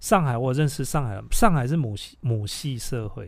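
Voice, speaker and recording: Heard with audible room echo, a man talks at a moderate pace in a fairly high voice. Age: 40s. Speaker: podcast host. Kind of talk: casual chat.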